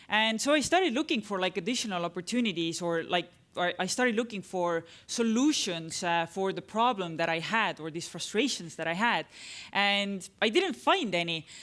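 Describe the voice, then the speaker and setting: Heard in a very clean recording with a silent background, a woman with an Estonian accent speaks with lively intonation. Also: medium pitch for a woman, moderate pace. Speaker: tech entrepreneur, conference speaker. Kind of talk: conference talk. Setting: stage with audience. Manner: halting, many fillers.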